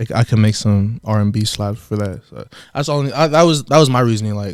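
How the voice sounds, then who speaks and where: A man with an American accent talks in an ordinary speaking voice at a medium pitch. His pace is fairly quick, with ordinary pitch variation. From San Diego, California. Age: 20s. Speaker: rapper. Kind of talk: casual interview.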